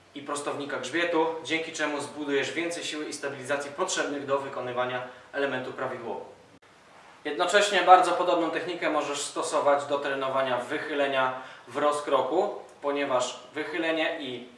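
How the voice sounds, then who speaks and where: Audible room echo surrounds speech delivered at a fairly quick pace with fairly even intonation. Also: man. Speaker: calisthenics coach. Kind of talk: tutorial. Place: gym.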